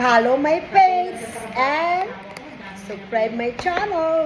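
A woman speaks loudly with lively intonation. There is noticeable background noise. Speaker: vlogger. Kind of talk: casual chat. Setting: lunch break at work.

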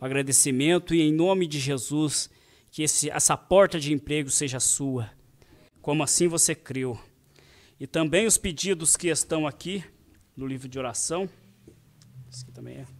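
At a moderate pace, a man speaks with ordinary pitch variation, big swings in loudness, and long, frequent pauses. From Brazil. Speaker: church service leader. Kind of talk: prayer and announcements. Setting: church. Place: church. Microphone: handheld.

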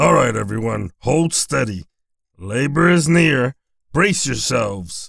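A man speaks in a cartoonish character voice of medium pitch. His pace is fairly slow. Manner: commanding, coach-like.

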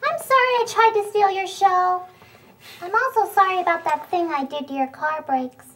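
In a cartoonish character voice, a female-sounding voice at an extremely high pitch speaks at a moderate pace. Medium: puppet show. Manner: cheeky, hustling, mock-offended.

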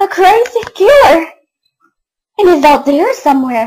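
In a put-on character voice, a female-sounding speaker talks at a moderate pace with an extremely high pitch and very wide pitch swings. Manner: scared, anxious.

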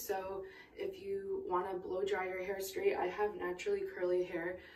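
Audible room echo and light background noise around a woman's voice. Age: 20s. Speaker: nurse. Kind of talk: casual how-to talk to camera. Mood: warm, encouraging. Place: bathroom. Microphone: phone near.

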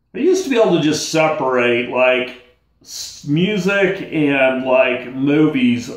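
Against a quiet background with audible room echo, a man talks at a very slow pace. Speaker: vlogger talking about bipolar. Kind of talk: angry rant. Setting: solo video at home. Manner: irritated, worked-up, venting; blunt, casual, exasperated. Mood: frustrated, ranting, weary. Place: home room. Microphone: phone near.

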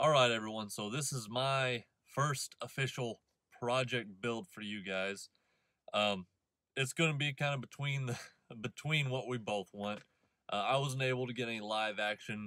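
A man speaks in a bright, sharp tone at a moderate pace with ordinary pitch variation. The sound is dry with no echo, over a quiet background. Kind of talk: casual vlog chat. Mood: relaxed, friendly. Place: car. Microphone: phone near.

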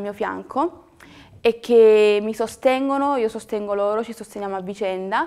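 At a moderate pace, the speech shows ordinary pitch variation. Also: woman. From Naples, southern Italy; southern Italy. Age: young. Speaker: acting student. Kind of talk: testimonial. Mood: earnest, determined, personal. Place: studio.

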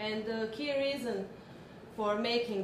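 A woman speaks very slowly with a Croatian accent. Her pitch varies in an ordinary way over noticeable background noise. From Croatia (Zagreb). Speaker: human rights NGO worker. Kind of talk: lecture. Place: classroom.

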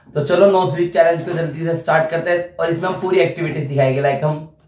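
The speaker talks at a moderate pace. Noticeable background noise is present. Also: man. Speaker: vlogger host. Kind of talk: casual vlog chat. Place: home room. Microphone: phone near.

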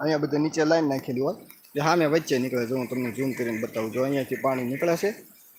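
A man speaks with lively intonation. Noticeable background noise is heard. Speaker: vlogger. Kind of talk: live stream walkthrough. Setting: indoors then outdoors at a water works. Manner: casual, conversational.

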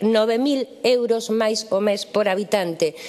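With noticeable background noise in the mix, a woman talks at a fairly high pitch and ordinary pitch variation. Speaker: politician. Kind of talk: parliamentary speech. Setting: parliament chamber. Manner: formal.

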